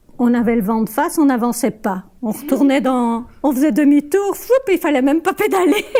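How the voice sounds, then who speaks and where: A woman's high-pitched voice with very wide pitch swings, a moderate pace, hardly any pauses, and noticeable background noise. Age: 70s. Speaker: retiree interviewed for a student film. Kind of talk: personal testimony interview.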